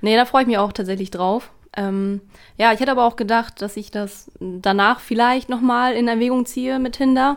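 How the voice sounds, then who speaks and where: An unremarkable speaking voice, a woman's, fairly high in pitch, fairly even in intonation, at a moderate pace, in a very clean recording with a silent background. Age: 20s. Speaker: office colleague of host. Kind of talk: casual chat.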